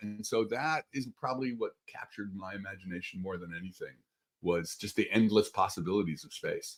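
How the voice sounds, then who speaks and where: An animated man at a fairly quick pace, his pitch swinging very widely. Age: 60s. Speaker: astrophysicist. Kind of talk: casual chat.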